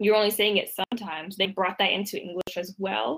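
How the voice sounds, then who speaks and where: With a DC area accent, a woman of medium pitch speaks at a moderate pace in a dry, close sound with no echo. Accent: American (DC area). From US, Washington DC area, Ethiopian family. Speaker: copywriter. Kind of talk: interview.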